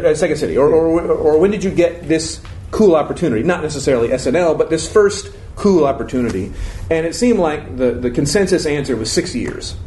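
In an American accent, a man speaks at a fairly quick pace and a fairly high pitch with lively intonation, amid audible room echo and noticeable background noise. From Florida. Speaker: improv teacher and performer. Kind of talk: casual interview before live audience.

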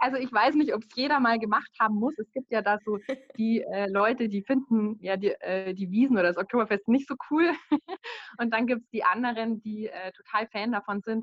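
At a moderate pace, a woman uses an ordinary speaking voice with a fairly high pitch, ordinary pitch variation and big swings in loudness. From Bavaria, village near Munich. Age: 30s. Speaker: virtual assistant. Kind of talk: casual interview.

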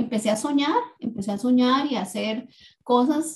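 Somewhat breathy, a woman talks with ordinary pitch variation. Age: 40s. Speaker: recovering addict sharing faith story. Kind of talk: testimony.

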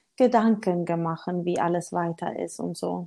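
Her tone is dark and mellow, and this woman speaks with a Swedish accent and fairly even intonation. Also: quiet background. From Sweden. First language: Swedish (speaking German). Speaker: motivational speaker. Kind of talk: interview. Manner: halting, searching for words.

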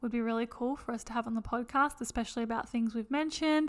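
A woman talks at a very fast pace with an Australian accent. Her pitch is high. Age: 20s. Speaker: podcast co-host. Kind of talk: casual chat.

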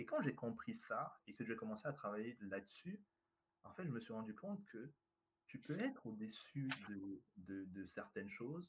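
With a somewhat breathy voice, a man speaks at a moderate pace, his pitch swinging very widely. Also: medium pitch for a man. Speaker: trainer and speaker. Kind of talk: interview. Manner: charismatic, animated.

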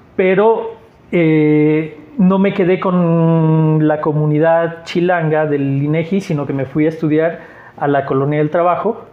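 Against noticeable background noise, a man with a fairly high pitch speaks at a fairly slow pace, his intonation fairly even and his loudness very even. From Mexico, Aguascalientes. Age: 40s. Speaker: artist and teacher. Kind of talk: casual interview.

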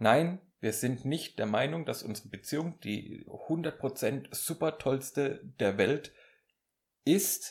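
Speaking at a very slow pace, a man sounds somewhat breathy, with lively intonation. The recording is very clean, with a silent background. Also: fairly high pitch for a man. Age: 30s. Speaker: podcast co-host, music teacher. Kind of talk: casual chat.

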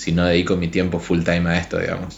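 The talking moves at a fairly quick pace. Room echo is audible. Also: man. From Argentina, Chaco. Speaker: illustrator and graphic designer. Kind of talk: casual interview chat.

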